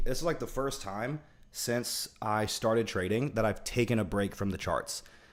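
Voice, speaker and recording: This is a man speaking. Vocal fry runs through his voice. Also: very clean recording, silent background. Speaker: livestreamer and trader. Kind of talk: casual livestream chat while backtesting trades. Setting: livestream with chat. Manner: relaxed, lots of fillers.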